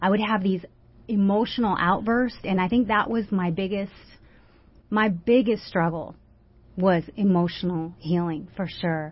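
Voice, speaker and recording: A somewhat breathy woman with an American accent speaks at a fairly slow pace with fairly even intonation and long, frequent pauses. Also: medium pitch for a woman. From US West Coast, San Francisco Bay Area. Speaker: author and anti-trafficking advocate. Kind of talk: personal testimony in a radio interview. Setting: radio studio.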